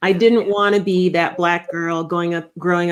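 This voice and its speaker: In a very clean recording with a silent background, a woman speaks at a moderate pace with a Minnesota accent. Her fairly low pitch stays monotone, with flat intonation. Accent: Upper Midwest (Minnesota) American. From Minnesota (Rochester). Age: 50s. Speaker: leadership strategist and author. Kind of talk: interview conversation.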